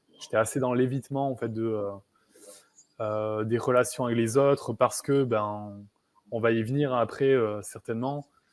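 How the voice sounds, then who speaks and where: With long, frequent pauses, a man of medium pitch speaks at a fairly slow pace and with fairly even intonation. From southwest France, near Bayonne. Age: 30s. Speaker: coach for highly sensitive people. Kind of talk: interview. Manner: hesitant, many fillers.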